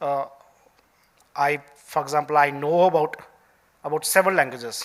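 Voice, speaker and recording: A man in an Indian accent, fairly high in pitch, with fairly even intonation at a moderate pace. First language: Dogri. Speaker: senior civil servant. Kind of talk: keynote speech. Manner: halting, many fillers.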